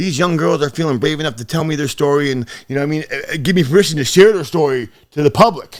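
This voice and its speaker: A man speaks at a very fast pace. His pitch is fairly high, with ordinary variation. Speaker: rapper and online activist. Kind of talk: podcast interview.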